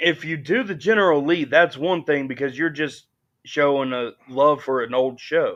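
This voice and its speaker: Speaking at a moderate pace with ordinary pitch variation, a man with an American accent has a fairly high pitch. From US South, Alabama. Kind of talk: casual chat.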